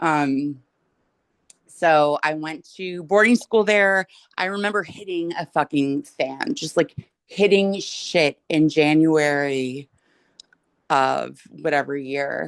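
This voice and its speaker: A woman's very deep, low-pitched voice with an American accent, at a very slow pace, in a dry, close sound with no echo. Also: ordinary pitch variation. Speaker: guest. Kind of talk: casual chat.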